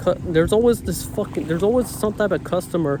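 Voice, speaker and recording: With ordinary pitch variation, a man rushes along at a very fast pace over noticeable background noise. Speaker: vlogger. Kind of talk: rant. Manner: animated.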